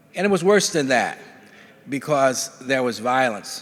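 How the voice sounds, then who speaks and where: With an American accent, a man talks at a moderate pace amid audible room echo. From US South, Alabama (Bessemer, near Birmingham). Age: 70s. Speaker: judge. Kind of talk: conference keynote speech. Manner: halting, many filler words.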